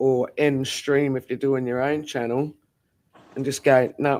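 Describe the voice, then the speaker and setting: Using an unremarkable speaking voice, a man talks fairly slowly at a fairly high pitch. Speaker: livestream guest. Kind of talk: casual chat.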